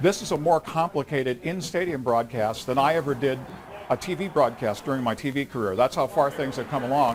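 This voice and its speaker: Noticeable background noise under a man's fairly quick, fairly high voice with ordinary pitch movement. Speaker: pastor and stadium public address announcer. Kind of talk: casual interview answer talking about his job.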